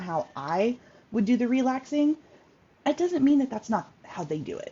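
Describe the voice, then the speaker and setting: The woman's pitch swings very widely as she talks. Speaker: workshop host, self-care coach. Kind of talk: informal online workshop talk. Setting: Facebook live video. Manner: fast; halting, many fillers.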